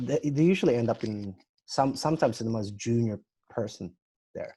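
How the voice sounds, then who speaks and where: The voice has a dark, mellow tone, is somewhat breathy and moves at a fairly quick pace. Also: man, medium pitch for a man, ordinary pitch variation. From Australia, Sydney. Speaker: marketing agency owner. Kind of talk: casual chat. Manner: halting, many repetitions.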